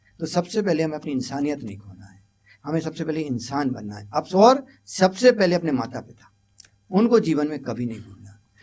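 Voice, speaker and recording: A man's fairly high voice with very wide pitch swings and big swings in loudness. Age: 60s. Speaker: educator. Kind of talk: interview.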